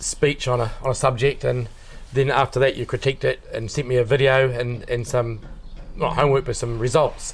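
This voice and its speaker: Mumbling, somewhat breathy speech from a man, in a monotone, flat intonation. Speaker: builder. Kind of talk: testimonial interview. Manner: fast.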